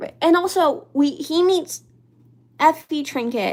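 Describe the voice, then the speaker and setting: Lively intonation in a woman's voice. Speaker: livestreamer. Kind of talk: casual chat. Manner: halting; soft-spoken.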